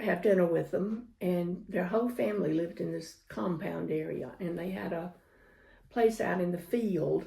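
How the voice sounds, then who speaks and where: A somewhat breathy woman with a Southern US accent, dark, mellow tone and fairly slow pace, in audible room echo. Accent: Southern US (Georgia). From US South, Georgia. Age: 70s. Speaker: grandmother interviewee, world traveler. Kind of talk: storytelling interview.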